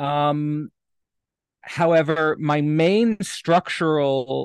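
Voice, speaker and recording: A man's fairly high voice with a Canadian accent and ordinary pitch variation, dry and close with no echo. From Canada, Hamilton, Ontario. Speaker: philosopher. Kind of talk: casual interview conversation. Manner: halting, many repeated words.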